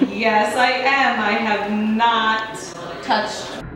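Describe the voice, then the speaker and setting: A woman speaks at a very slow pace. Noticeable background noise and a strong room echo surround her voice. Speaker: teacher introducing herself. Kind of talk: casual self-introduction to students. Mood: playful, cheerful. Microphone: camera far.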